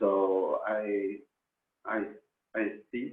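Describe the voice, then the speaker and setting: A man speaks with a Spanish accent in a fairly low pitch. His intonation is monotone and flat. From Argentina. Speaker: professional musician. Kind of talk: interview in second language. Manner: halting.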